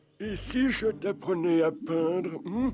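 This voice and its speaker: In a cartoonish character voice, a man talks at a fairly slow pace with a high pitch. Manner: gentle, warm.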